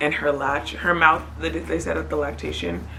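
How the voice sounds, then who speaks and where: In a calm tone, a woman talks at a moderate pace, with audible echo from the room. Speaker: vlogger, new mother. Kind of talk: casual vlog update. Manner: lowered voice, quieter so baby stays calm.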